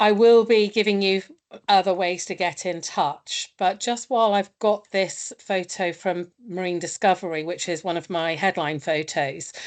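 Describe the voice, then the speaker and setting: A woman at a medium pitch, moderate pace and ordinary pitch variation, against a quiet background. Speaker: marine researcher presenting dolphin project. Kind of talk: webinar presentation. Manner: loud.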